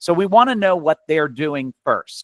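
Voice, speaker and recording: A high-pitched man with an American accent and lively intonation, at a moderate pace, in a dry, close sound with no echo. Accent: slight New York accent, occasionally. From New York. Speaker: physician and educator. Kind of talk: webinar lecture. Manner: conversational.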